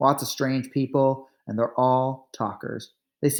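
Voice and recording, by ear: Quiet background behind a natural voice reading aloud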